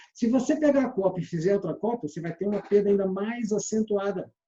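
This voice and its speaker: A man's dark, mellow tone at a high pitch, very fast pace and ordinary pitch variation. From Minas Gerais, Brazil (Belo Horizonte). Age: 60s. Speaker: sales trainer. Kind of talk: lecture.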